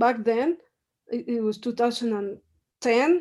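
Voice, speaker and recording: A woman speaks in a strong Mexican accent. Her tone is dark and mellow. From Mexico. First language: Spanish. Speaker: professor. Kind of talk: interview.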